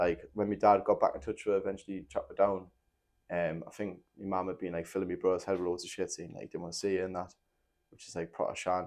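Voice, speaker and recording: Very fast speech over a quiet background. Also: man. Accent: strong Geordie. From northern England, Newcastle (moved from Nottingham at five). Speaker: former MMA fighter turned musician. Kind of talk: casual podcast interview, telling life story. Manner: casual, many fillers and false starts.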